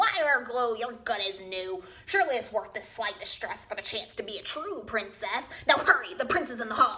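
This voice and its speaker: The speaker uses a put-on character voice at a moderate pace. There are hardly any pauses. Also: woman, high pitch for a woman. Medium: read story. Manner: sneering.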